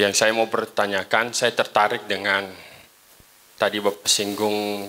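Fairly slow, fairly low-pitched speech from a man. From East Lampung, Indonesia; Indonesia. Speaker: pastor, audience member. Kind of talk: audience question. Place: hall.

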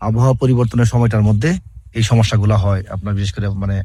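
This man has a plain, everyday voice. His pitch sits in the medium range, and his intonation is fairly even. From Bangladesh. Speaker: fish feed company field technician. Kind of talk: interview.

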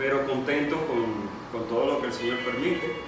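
Music plays in the background, and audible room echo surrounds the sound. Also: man. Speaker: home cook hosting. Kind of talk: casual cooking demonstration. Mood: cheerful, relaxed. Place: kitchen. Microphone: camera far.

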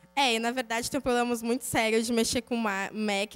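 This woman has a plain, everyday voice. It is fairly high and moves at a moderate pace. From São Paulo state, Brazil. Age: 20s. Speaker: programmer, conference speaker; conference speaker. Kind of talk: conference talk with live code walkthrough. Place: hall. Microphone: handheld.

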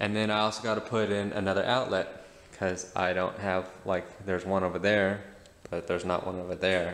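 A man speaks at a moderate pace in a very deep, low voice with monotone, flat intonation. Audible room echo surrounds him. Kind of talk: tutorial. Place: garage. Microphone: phone near.

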